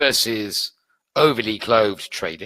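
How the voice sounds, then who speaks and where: The speaker is a man with a British accent. The recording is dry and close, with no echo. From UK. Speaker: trading educator. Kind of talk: webinar presentation. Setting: online webinar.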